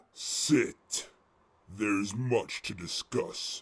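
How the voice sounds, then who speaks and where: A man's growling, put-on character voice at a medium pitch. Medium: audio drama. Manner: cold, commanding.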